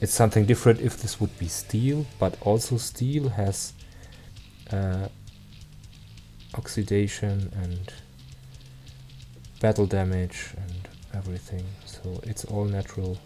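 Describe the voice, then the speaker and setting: Over music in the background, a speaker with a German accent talks at a fairly slow pace with long, frequent pauses and fairly even intonation. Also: man, fairly low pitch for a man. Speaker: miniature painting streamer. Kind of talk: live stream painting tutorial. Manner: halting, with filler words.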